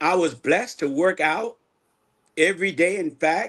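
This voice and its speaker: A man's voice with vocal fry against a quiet background. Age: 60s. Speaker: minister. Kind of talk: testimony.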